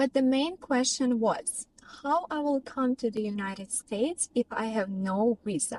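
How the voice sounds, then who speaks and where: A high-pitched woman in a Russian accent, fairly slow with lively intonation, in a dry, close sound with no echo. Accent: non-native English, Russian. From Russia, Tyumen. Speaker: vlogger and professional dancer. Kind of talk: personal vlog storytelling.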